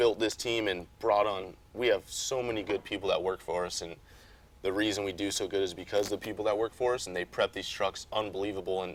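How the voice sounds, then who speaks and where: A man with an American accent uses a plain, everyday voice, fairly low in pitch, at a fairly quick pace with fairly even intonation. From Las Vegas, Nevada. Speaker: off-road racing driver. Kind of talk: interview. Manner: casual.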